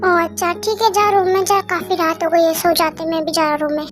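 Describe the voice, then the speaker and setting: A woman's put-on character voice at a very fast pace, with clear background noise. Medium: read story.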